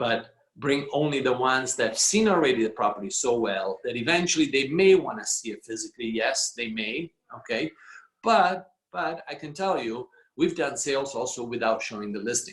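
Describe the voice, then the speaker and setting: A man speaks with an Italian accent at a medium pitch. His intonation is lively and his pace moderate. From Italy. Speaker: real estate executive. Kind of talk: business talk on a video call. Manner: halting, many fillers.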